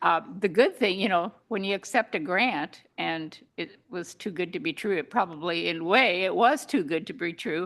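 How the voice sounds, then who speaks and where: A woman with a normal speaking voice talks at a medium pitch and moderate pace, with ordinary pitch variation, over a quiet background. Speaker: parks committee member. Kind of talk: public meeting update.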